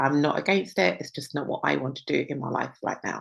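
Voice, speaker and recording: A normal speaking voice at a moderate pace over a quiet background. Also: woman. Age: 60s. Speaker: women's health coach. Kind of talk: webinar presentation.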